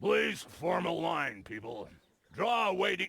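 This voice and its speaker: This is a put-on character voice at middle pitch. The pace is fairly slow. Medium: video game. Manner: dry, deadpan.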